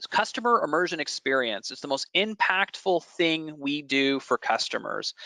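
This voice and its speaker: Dry and close with no echo, a man's fairly high voice has a bright, sharp tone and lively intonation. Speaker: company founder and licensing expert. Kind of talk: webinar presentation. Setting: online webinar. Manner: fast; casual, filler-heavy.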